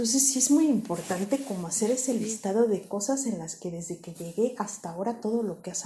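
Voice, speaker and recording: Speaking at a moderate pace, a woman with a fairly high pitch has a dark, mellow tone that is somewhat breathy, with lively intonation. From Mexico, Querétaro. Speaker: psychologist. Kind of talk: interview.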